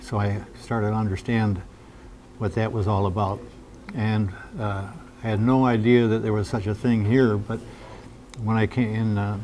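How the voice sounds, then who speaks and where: The intonation stays monotone and flat. This man has an American accent. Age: 80s+. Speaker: folk blues musician. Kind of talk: interview. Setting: cafe. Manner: halting, many fillers.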